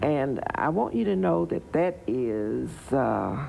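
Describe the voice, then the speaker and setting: With a Southern US accent, a woman speaks in a dark, mellow tone marked by vocal fry and very wide pitch swings. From Tennessee, Wilson County. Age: 70s. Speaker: local political figure. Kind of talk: interview.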